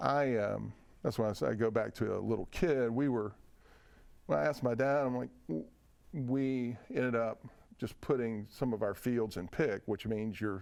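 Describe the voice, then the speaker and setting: A man with a Tennessee accent, medium pitch, ordinary pitch variation and a moderate pace, on a very clean recording with a silent background. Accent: Southern US (Tennessee). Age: 60s. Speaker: whiskey distiller. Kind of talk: interview conversation. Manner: halting, many fillers and restarts.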